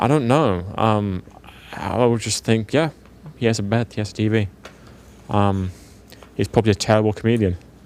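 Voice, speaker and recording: In a British accent, a man with a fairly low pitch speaks at a moderate pace, using ordinary pitch variation and long, frequent pauses. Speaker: professional esports player. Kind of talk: casual chat.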